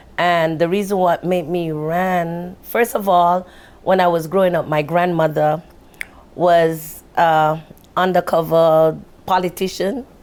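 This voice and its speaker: A woman's fairly low voice with a Jamaican accent, fairly slow, very even in loudness and monotone, flat in intonation. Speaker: local political candidate. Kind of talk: casual interview conversation.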